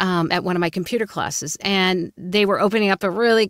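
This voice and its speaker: A woman with an East Coast American accent, dry sound with no echo and a quiet background. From US East Coast. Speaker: voice actor and coach. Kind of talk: interview conversation. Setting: video call. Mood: warm, upbeat storytelling. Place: booth. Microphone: studio mic.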